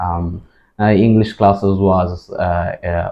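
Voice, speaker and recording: A man's very deep, low voice at a very slow pace. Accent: Bengali. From Bangladesh, Dhaka. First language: Bengali. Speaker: IELTS test taker. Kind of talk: mock speaking exam. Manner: halting, many fillers.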